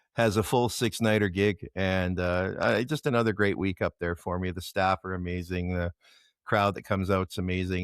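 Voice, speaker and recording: With a Canadian accent and a very deep, low pitch, a man talks at a moderate pace with fairly even intonation. The sound is dry and close with no echo, on a very clean recording with a silent background. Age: 60s. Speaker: bar-circuit rock musician. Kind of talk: casual interview chat.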